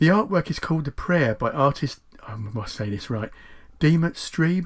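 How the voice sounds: At a moderate pace, a man speaks with lively intonation and a fairly high pitch.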